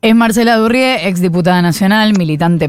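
Speaking fairly quickly, she uses an unremarkable speaking voice, and her pitch moves in an ordinary way, this being a woman's voice. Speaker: radio host. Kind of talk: radio interview.

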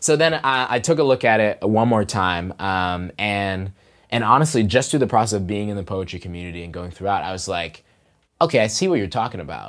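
This man talks at a fairly quick pace with an American accent and a fairly low pitch. He has an unremarkable speaking voice. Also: big swings in loudness. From Pittsburgh, US. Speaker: poet and teacher. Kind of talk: interview conversation. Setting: podcast booth in shared workspace.

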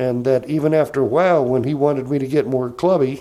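At a moderate pace, a man speaks with fairly high pitch and ordinary pitch variation. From US South, Georgia. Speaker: comedian. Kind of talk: casual chat.

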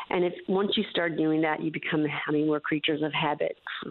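A woman with a normal speaking voice talks at a moderate pace and with fairly even intonation. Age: 50s. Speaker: melanoma survivor and awareness advocate. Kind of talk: radio interview.

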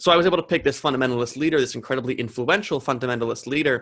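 With an American accent and vocal fry, a man speaks at a medium pitch with ordinary pitch variation. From New Jersey. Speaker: college student discussing senior thesis. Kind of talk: interview.

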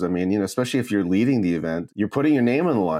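Recorded very cleanly with a silent background, a man with an American accent speaks in a dark, mellow tone with lively intonation. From US, born Brooklyn to Korean parents. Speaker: tech conference founder. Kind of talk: interview.

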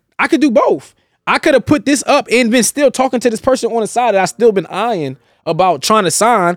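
Talking at a fairly quick pace with lively intonation, a man with an extremely high pitch is heard in a very clean recording with a silent background and a dry, close sound with no echo. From US, Philadelphia. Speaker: rapper. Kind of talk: casual chat.

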